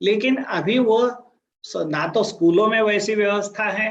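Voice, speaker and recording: A man speaks with a Marathi accent. His pitch is high. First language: Marathi (speaking Hindi). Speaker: career guidance speaker. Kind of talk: talk to students. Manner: halting with fillers.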